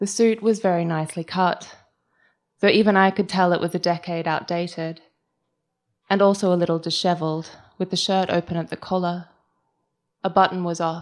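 In a very clean recording with a silent background, a woman with an Australian accent speaks at a fairly low pitch and a fairly quick pace, in monotone, flat intonation with long, frequent pauses. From Australia (Melbourne). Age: 30s. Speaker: writer. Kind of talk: reading aloud. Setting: stage with audience.

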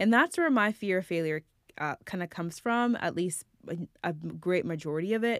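A woman with an unremarkable speaking voice talks at a moderate pace, her fairly low pitch showing ordinary variation. The very clean recording has a silent background and a dry, close sound with no echo. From immigrant to the US at age nine. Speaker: podcast host. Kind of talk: personal reflective monologue.

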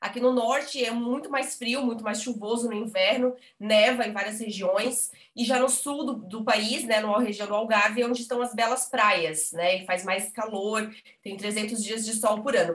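This is an ordinary speaking voice, delivered at a fairly slow pace with fairly even intonation. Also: woman, fairly high pitch for a woman. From Brazil, Blumenau (Santa Catarina). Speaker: journalist, emigration website co-founder. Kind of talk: casual interview.

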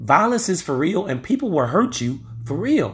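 Very wide pitch swings mark this man's animated, somewhat breathy delivery at a moderate pace on a very clean recording with a silent background. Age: 40s. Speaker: podcast host. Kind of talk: casual solo commentary.

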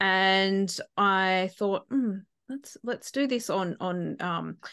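A woman with an Australian accent speaks against a quiet background. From outback New South Wales, Australia. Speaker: coach and keynote speaker. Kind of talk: interview.

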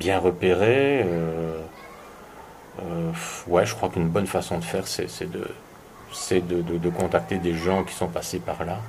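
A man talks in a very deep, low voice. His pauses are long and frequent. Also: ordinary pitch variation. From Belgium. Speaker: tourism entrepreneur. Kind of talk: interview. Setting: at host's home. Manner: hesitant, many repetitions.

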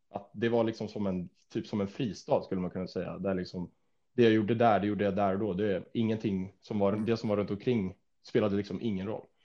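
A man talks fairly quickly in a normal speaking voice, fairly low in pitch with fairly even intonation. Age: 20s. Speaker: fitness influencer and student. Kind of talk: casual chat.

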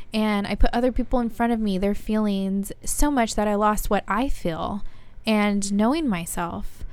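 This is a woman with an ordinary speaking voice, pitched fairly high. She talks at a moderate pace with ordinary pitch variation. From Monrovia, California, US. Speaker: podcast co-host and video producer. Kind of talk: casual chat.

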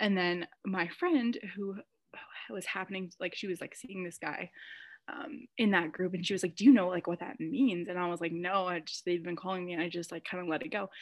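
With an American accent, a woman of medium pitch speaks at a fairly quick pace and ordinary pitch variation. Her loudness swings widely against a quiet background. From United States. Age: 20s. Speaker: graduate student. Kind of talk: casual chat. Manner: fast talker.

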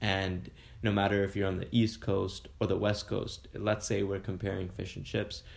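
A man with a Canadian accent speaks at a moderate pace in a fairly low pitch, somewhat breathy, with monotone, flat intonation. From Kingston, Ontario, Canada. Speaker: food blogger. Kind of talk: casual interview. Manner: filler-heavy, hesitant.

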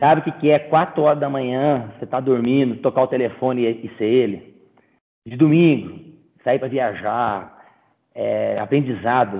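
Delivery is fairly slow. Pitch moves up and down in an ordinary way. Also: man, medium pitch for a man. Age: 30s. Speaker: agribusiness sales representative. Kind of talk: casual interview chat. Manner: animated.

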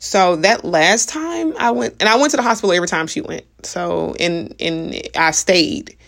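Her voice, a woman's at medium pitch, keeps a moderate pace. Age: 30s. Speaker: podcast host. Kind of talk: personal monologue.

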